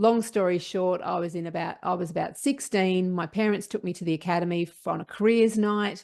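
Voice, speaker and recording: Against a quiet background, a woman with an Australian accent talks at a fairly quick pace in a medium pitch, with fairly even intonation and hardly any pauses. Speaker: sports psychologist. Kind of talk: interview.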